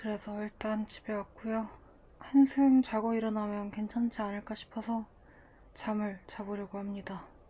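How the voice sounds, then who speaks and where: A woman talks fairly slowly in a fairly high voice, her intonation monotone and flat. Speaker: diet vlogger. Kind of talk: vlog narration. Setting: at home in bed.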